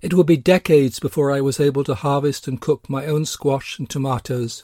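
In an English accent, a man with a fairly high pitch speaks at a moderate pace, the sound dry and close with no echo. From England. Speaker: spiritual teacher and podcast host. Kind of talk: scripted narration.

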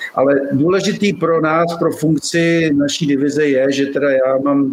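There is noticeable background noise behind a man with a fairly high pitch. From Czech Republic, Bohemian Paradise region. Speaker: arborist. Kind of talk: interview.

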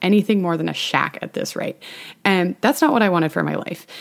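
This woman speaks in an animated tone. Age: 20s. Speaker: podcast host. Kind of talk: solo podcast monologue.

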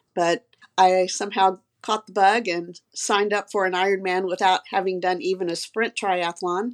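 A woman with a medium pitch and monotone, flat intonation at a moderate pace, in a very clean recording with a silent background. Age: 60s. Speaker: physician and amateur triathlete. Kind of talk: casual interview.

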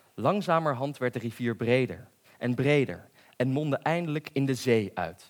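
The speaker is plainly reading aloud with ordinary pitch variation.

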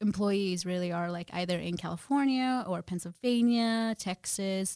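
In an ordinary speaking voice with an American accent, a woman speaks at a moderate pace and medium pitch with ordinary pitch variation, the sound dry and close with no echo on a very clean recording against a silent background. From New Jersey. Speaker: brokerage compliance professional. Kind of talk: casual interview.

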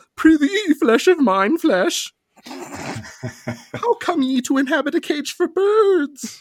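A put-on character voice, high-pitched and delivered at a very slow pace. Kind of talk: archaic, old-fashioned. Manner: unhinged, insane.

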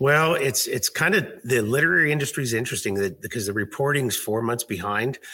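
Very fast and with hardly any pauses, a man talks at a medium pitch. His intonation is lively. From US Pacific Northwest, Seattle area. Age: 50s. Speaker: fitness director, author, Marine veteran. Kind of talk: interview. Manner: hesitant, with many fillers.

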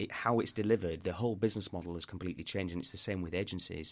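A man's very deep, low voice at a very fast pace, with fairly even intonation, on a very clean recording with a silent background. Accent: northern English. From northern England, York. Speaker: podcast host and PR businessman. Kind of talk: interview conversation.

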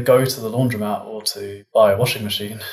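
A man with a British accent speaks at a moderate pace, his medium-pitched voice somewhat breathy. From United Kingdom, London and Cambridge. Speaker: physicist. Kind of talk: casual interview conversation.

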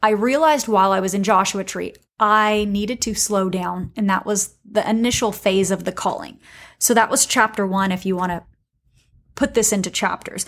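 With a normal speaking voice, a woman talks at a moderate pace and medium pitch with fairly even intonation, in a very clean recording with a silent background. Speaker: podcast host, entrepreneur. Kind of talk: solo monologue podcast episode. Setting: home recording with professional microphone.

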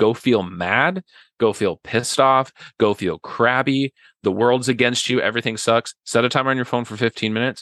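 A plain, everyday voice with ordinary pitch variation at a moderate pace, in a dry, close sound with no echo and a quiet background. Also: man, medium pitch for a man. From western Nebraska, small town. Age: 30s. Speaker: podcast guest, friend of host. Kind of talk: casual chat. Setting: video call.

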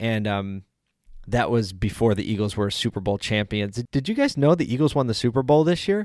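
A man with an American accent talks at a fairly quick pace, medium in pitch, with lively intonation and an ordinary speaking voice. The recording is very clean with a silent background, dry and close with no echo. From South Philadelphia, Pennsylvania, US. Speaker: podcast host. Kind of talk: solo podcast monologue. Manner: casual, conversational.

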